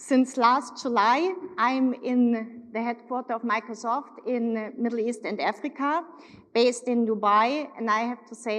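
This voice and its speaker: In a German accent, a woman speaks at a fairly high pitch. Her pitch variation is ordinary. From Germany, Munich. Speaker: corporate executive. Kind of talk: keynote speech. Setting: stage with audience.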